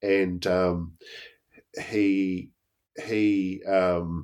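A man with a New Zealand accent, a very deep, low pitch and monotone, flat intonation. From New Zealand, Blenheim. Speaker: Māori history lecturer and author. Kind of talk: interview. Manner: halting, many fillers.

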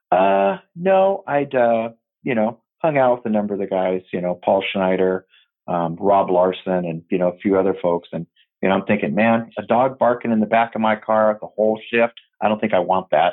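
At a moderate pace, a man with an American accent uses a plain, everyday voice, fairly low in pitch and with ordinary pitch variation. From US Pacific Northwest, Tacoma, Washington. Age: 50s. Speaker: retired police detective. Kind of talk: casual interview.

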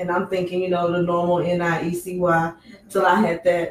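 A woman with an American accent talks at a moderate pace in a fairly low pitch. Noticeable background noise runs under her voice. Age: 30s. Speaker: sex trafficking survivor and advocate. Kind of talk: radio interview. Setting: studio.

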